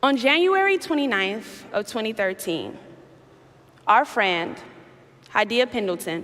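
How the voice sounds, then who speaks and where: Speaking in an American accent, a woman moves at a fairly slow pace with long, frequent pauses. Her pitch swings very wide. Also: fairly high pitch for a woman. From Chicago, US Midwest. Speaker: activist and keynote speaker. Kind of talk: keynote speech. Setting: stage with audience.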